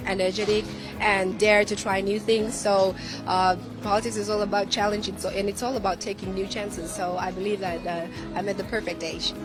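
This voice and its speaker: Music plays in the background as a woman speaks at a fairly quick pace. Her pitch is medium and her intonation fairly even. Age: 30s. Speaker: politician; former TV presenter and radio jockey. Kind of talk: interview answer.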